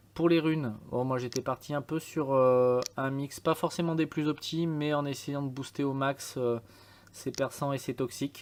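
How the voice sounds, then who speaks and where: A man's fairly high-pitched voice at a fairly slow pace, monotone and flat, on a very clean recording with a silent background. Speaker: game tutorial youtuber. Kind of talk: tutorial. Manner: hesitant, many fillers.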